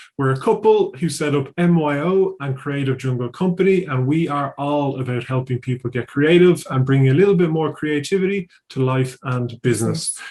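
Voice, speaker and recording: Somewhat breathy and fairly high in pitch, a man speaks with hardly any pauses. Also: ordinary pitch variation, moderate pace. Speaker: podcast host, workshop business owner. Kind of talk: podcast intro and interview questions.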